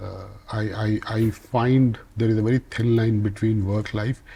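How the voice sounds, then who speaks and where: Somewhat breathy and dark, mellow in tone, a man talks at a moderate pace at a fairly low pitch with monotone, flat intonation. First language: not English. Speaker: business leader. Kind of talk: interview. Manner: halting, with repeated words.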